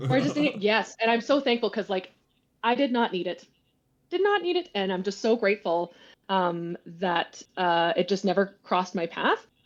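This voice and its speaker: Against a quiet background, a woman speaks at a moderate pace in a medium pitch with ordinary pitch variation. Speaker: podcast guest. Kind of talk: casual chat. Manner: loud; animated. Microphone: connection issues.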